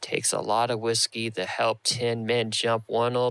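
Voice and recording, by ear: The recording features reading aloud in a natural voice.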